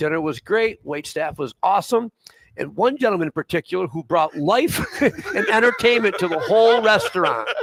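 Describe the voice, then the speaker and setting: A loud man's voice, high-pitched with lively intonation, at a moderate pace in a dry, close sound with no echo. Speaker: talk show guest. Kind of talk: casual chat. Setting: live show upstairs in a tavern.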